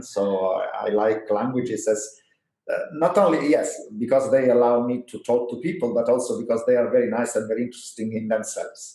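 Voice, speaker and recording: A man of medium pitch with an Italian accent at a fairly quick pace, with audible room echo. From Italy. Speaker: physics professor. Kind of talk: interview. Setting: historical university building.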